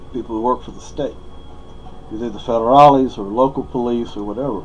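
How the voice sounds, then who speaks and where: Noticeable background noise runs under this recording. A man speaks at a fairly quick pace. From southern Spain. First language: Spanish. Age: old. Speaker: vlogger. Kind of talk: casual monologue. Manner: halting.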